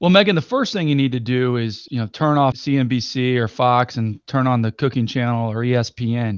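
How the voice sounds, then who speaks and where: In an ordinary speaking voice, a man of medium pitch talks at a fairly quick pace with hardly any pauses and ordinary pitch variation, the sound dry and close with no echo over a quiet background. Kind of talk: infomercial call-to-action pitch. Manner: urgent, repetitive, clearly enunciated number-reading.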